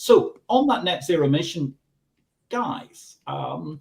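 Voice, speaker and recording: A man speaks in a somewhat breathy voice. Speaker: livestream show host. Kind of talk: live talk show hosting. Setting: studio.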